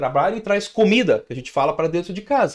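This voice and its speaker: A man's pitch swings very widely as he talks. The background is quiet. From Brazil. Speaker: financial educator, channel host; financial educator. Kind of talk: answering viewer question, advice monologue. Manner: casual, conversational with fillers. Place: home room. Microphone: studio mic.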